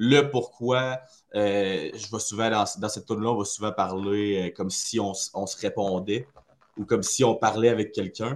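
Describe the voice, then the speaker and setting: A man with a normal speaking voice talks at a moderate pace, with fairly even intonation and a quiet background. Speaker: metal band vocalist. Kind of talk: casual interview.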